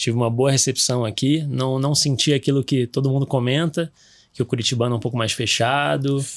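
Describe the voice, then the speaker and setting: Fairly quick speech with a Rio de Janeiro accent and fairly even intonation comes through on a very clean recording with a silent background. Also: man. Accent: Rio de Janeiro (carioca). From Rio de Janeiro, Brazil. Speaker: orthopedic surgeon, sports medicine doctor. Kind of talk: podcast interview. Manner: hesitant, many fillers and restarts.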